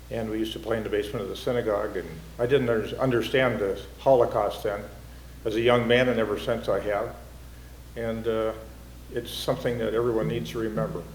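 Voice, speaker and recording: A man talks at a very fast pace amid audible room echo. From North Dakota. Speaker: city official. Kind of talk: closing remarks.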